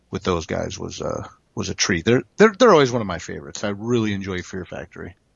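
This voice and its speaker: This is a male speaker. His delivery runs at a fairly quick pace. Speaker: comic creator and co-host. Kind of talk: casual chat. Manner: animated, joking.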